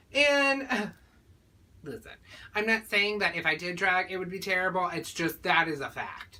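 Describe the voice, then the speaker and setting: With a bright, sharp tone and lively intonation, a woman speaks at a moderate pace, pausing long and often. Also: medium pitch for a woman. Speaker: vlogger. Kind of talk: casual vlog monologue.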